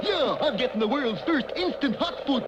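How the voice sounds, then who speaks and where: There is clear background noise behind a cartoonish character voice delivered at a moderate pace. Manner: dopey, cheerful.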